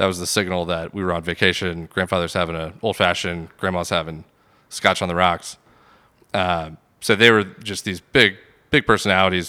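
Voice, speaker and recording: With an American accent, a man speaks at a very deep, low pitch in a bright, sharp tone with fairly even intonation on a very clean recording with a silent background. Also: fairly quick pace. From Atlanta (Sandy Springs), US South. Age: 30s. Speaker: restaurant owner. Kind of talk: casual interview.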